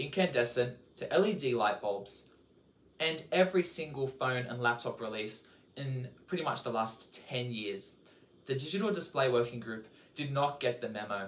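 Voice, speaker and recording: Speaking at a moderate pace, a man uses lively intonation at a medium pitch. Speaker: tech YouTuber. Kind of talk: scripted tech commentary to camera. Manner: stiff at times.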